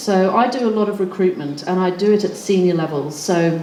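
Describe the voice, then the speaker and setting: A woman speaks at a fairly quick pace with a slight English accent. Audible room echo and noticeable background noise accompany her. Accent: slightly English-sounding. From Australia. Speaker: recruitment consultant and panelist. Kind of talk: panel talk. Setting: stage with audience. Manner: hesitant, many fillers.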